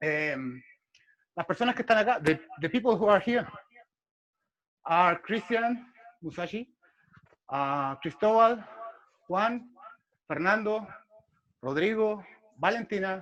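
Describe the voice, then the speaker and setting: In a Spanish accent, the speaker moves at a fairly slow pace with long, frequent pauses. The pitch swings very widely. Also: man. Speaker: martial arts instructor. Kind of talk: interview. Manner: halting.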